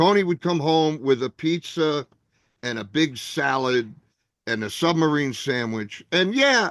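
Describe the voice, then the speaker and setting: Over a quiet background, a man with a New Jersey accent talks fairly slowly at a fairly high pitch with lively intonation, the sound dry and close with no echo. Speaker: comedian. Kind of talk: casual chat.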